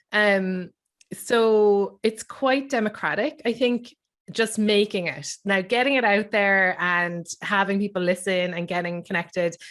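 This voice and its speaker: A woman with an Irish accent and ordinary pitch variation. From Ireland. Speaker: writer, comedian and podcaster. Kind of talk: panel discussion. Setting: video call.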